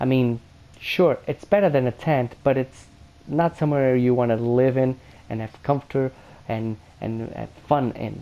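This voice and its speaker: A man speaks at a fairly slow pace with a non-native accent. His medium-pitched voice has a dark, mellow tone and ordinary pitch variation. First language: not English. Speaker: gaming youtuber. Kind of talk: video game review commentary. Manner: halting, many fillers.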